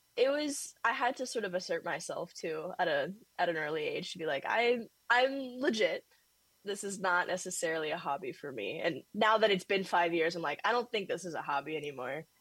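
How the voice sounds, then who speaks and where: A woman with an American accent talks fairly quickly at a medium pitch, her voice making very wide pitch swings. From Northern California. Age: 20s. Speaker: art student and painter. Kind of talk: casual interview.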